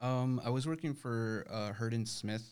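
Here a man speaks with fairly even intonation. He has a normal speaking voice. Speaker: law firm staff member. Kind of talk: casual interview.

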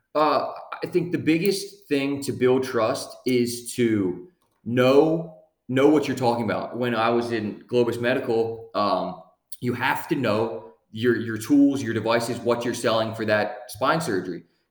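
Medium-pitched male speech with an American accent, fairly slow, with ordinary pitch variation and audible room echo. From US Northeast (Lancaster, Pennsylvania). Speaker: legal operations director, former medical device sales rep. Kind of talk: casual podcast interview.

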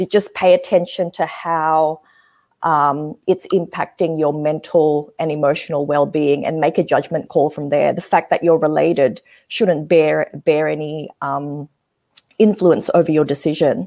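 A woman in an Australian accent, very deep and low in pitch, dark and mellow in tone, fairly slow, with a very clean recording and silent background. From Australia, Sydney; Indonesian family. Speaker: change management consultant. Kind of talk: casual interview. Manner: animated.

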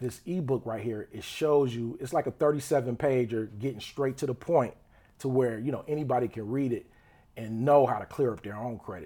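A man's dark, mellow voice at medium pitch, a fairly quick pace and ordinary pitch variation. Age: 20s. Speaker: entrepreneur and rapper. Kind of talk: casual chat. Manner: halting, many fillers.

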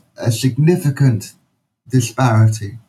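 This man's tone is dark and mellow, a bit breathy, with ordinary pitch variation. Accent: London. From London, England. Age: 40s. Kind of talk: interview.

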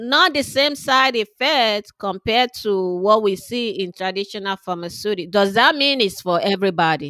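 A woman with a fairly high, bright, sharp voice speaks at a moderate pace with lively intonation and hardly any pauses, in a dry, close sound with no echo. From Nigeria. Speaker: pharmacist and wellness company founder. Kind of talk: interview. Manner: hesitant, many fillers.

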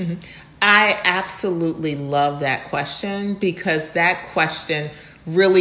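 Through noticeable background noise, a woman with an American accent speaks fairly slowly, with ordinary pitch variation. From US Midwest, Ann Arbor, Michigan. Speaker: development finance executive. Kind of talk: interview.

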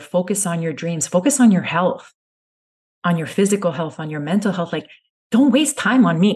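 A woman speaks in a calm tone at a moderate pace. Her medium-pitched voice is somewhat breathy, with lively intonation. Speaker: family content creator. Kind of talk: interview. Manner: soft-spoken.

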